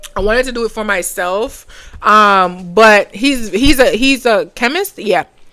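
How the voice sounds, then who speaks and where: Speaking at a moderate pace with a Caribbean accent, a woman uses lively intonation at a fairly high pitch, with noticeable background noise behind her. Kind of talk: casual tutorial. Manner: halting, many fillers.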